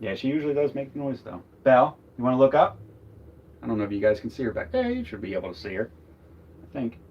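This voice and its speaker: Big swings in loudness and long, frequent pauses mark this man's very fast speech at medium pitch with ordinary pitch variation. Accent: slight Philadelphia. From US Northeast, Philadelphia. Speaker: RV travel vlogger. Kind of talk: casual chat. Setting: live stream from RV.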